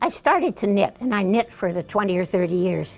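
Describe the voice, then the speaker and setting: The speaker uses lively intonation at a fairly slow pace. Music plays in the background. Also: woman. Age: 80s+. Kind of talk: interview answer.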